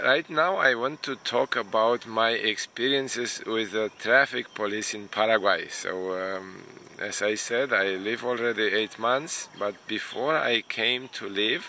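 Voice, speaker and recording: Amid noticeable background noise, a man with a Romanian accent speaks at a fairly slow pace, medium in pitch with ordinary pitch variation. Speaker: immigration consultant and vlogger. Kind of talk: casual vlog monologue. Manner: hesitant, many fillers.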